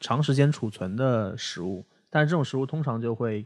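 A man's normal speaking voice at medium pitch, with ordinary pitch variation, a moderate pace, and a very clean recording over a silent background. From Shanghai. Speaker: podcast host. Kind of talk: casual chat.

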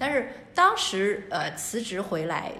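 A woman is heard with audible room echo. Noticeable background noise sits behind her. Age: 40s. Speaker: antique shop owner. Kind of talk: casual chat.

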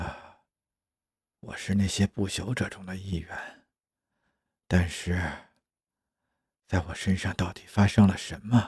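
A man's put-on character voice, low-pitched with a slightly mellow tone and a husky, rough edge, fairly even intonation, a slow pace and long, frequent pauses. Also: very clean recording, silent background.

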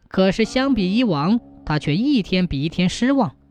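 The intonation moves in a lively way. Someone is reading aloud plainly.

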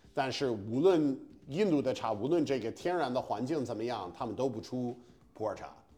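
A man with an English accent and lively intonation. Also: medium pitch for a man, moderate pace. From US Northeast, Massachusetts. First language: English (speaking Chinese). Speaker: stand-up comedian. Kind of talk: casual chat. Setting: apartment room. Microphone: slight room echo.

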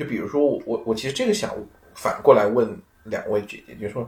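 A man talks at a fairly quick pace. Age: middle-aged. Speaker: researcher in computing and economics. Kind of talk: casual chat. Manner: halting, many fillers.

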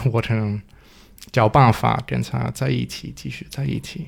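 A man with a non-native accent speaks at a fairly low pitch, his voice swinging very widely in pitch. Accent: foreign accent in Mandarin. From Denmark. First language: Danish (speaking Chinese). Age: 20s. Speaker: guest, foreign husband. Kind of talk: casual chat. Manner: halting, repeats words.

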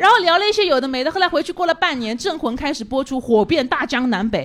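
Through noticeable background noise, a woman talks at a very fast pace in a high pitch, her voice making very wide pitch swings. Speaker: stand-up comedian. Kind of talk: stand-up set. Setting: stage with audience.

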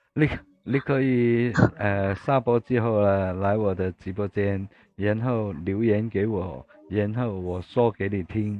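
A man with a Cantonese accent speaks very slowly in a fairly low pitch with ordinary pitch variation. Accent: Cantonese-accented Mandarin. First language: Cantonese (speaking Chinese). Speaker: livestream host. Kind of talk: casual chat. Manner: halting.

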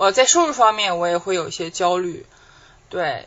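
With lively intonation, a normal speaking voice proceeds at a moderate pace. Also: woman. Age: 30s. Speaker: podcast co-host. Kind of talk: casual chat.

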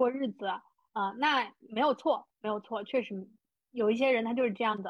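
A woman is speaking. Her pitch is high, and it varies in an ordinary way. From small rural county town in China. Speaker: podcast host and money-making coach. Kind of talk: interview.

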